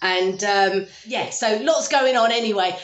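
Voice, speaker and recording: Audible room echo carries a woman's voice, which shows ordinary pitch variation. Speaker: home renovation vlogger. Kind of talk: casual vlog chat. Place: kitchen. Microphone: phone near.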